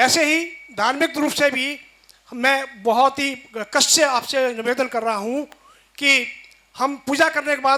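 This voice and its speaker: Raising and projecting his voice, a man speaks at an extremely high pitch in a bright, sharp tone with fairly even intonation. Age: 60s. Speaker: audience member asking a question. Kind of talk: question to a religious leader.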